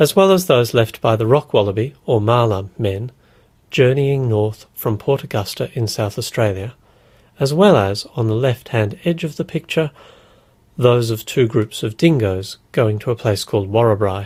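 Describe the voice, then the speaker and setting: A somewhat breathy man's voice of medium pitch, with ordinary pitch variation and a moderate pace. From Australia. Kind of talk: encyclopedia article reading.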